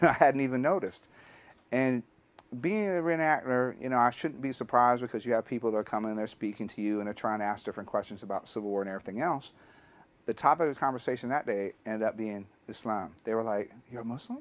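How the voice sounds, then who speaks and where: A very fast man's voice at medium pitch with an American accent and ordinary pitch variation. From US South, Alabama. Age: 40s. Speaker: history teacher. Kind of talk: personal testimony.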